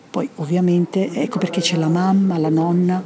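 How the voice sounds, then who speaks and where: Fairly even intonation and a fairly quick pace sit over noticeable background noise. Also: woman. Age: 60s. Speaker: stage actress. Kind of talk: interview.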